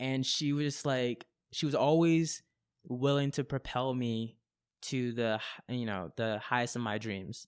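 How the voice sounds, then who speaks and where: A man with a normal speaking voice talks in an American accent at a fairly slow pace, with a medium pitch and ordinary pitch variation. The recording is very clean, with a silent background. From Japan and Florida. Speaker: slam poet. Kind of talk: interview answer. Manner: casual.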